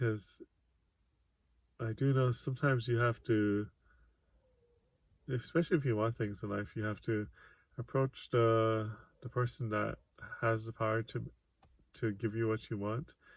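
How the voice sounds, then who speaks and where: Soft-spoken and somewhat breathy, the speaker keeps fairly even intonation at a moderate pace with long, frequent pauses. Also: man, medium pitch for a man. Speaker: author and vlogger. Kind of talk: casual monologue vlog. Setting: self-recorded video. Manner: halting, pauses mid-sentence.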